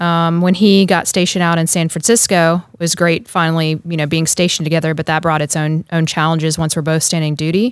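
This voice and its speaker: The speaker has an American accent and a monotone, flat intonation. The recording is very clean, with a silent background. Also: woman, fairly low pitch for a woman, hardly any pauses. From US South, North Carolina. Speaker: Coast Guard pilot. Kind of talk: casual interview.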